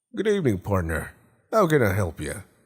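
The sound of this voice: In a very clean recording with a silent background, a man puts on a character voice with a slightly husky edge, talking at a fairly quick pace with very wide pitch swings. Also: fairly low pitch for a man.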